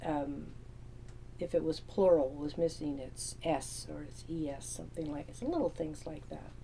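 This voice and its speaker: Over noticeable background noise, a woman talks at a fairly slow pace with big swings in loudness. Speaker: novelist. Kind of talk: casual talk to camera. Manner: laid back, relaxed.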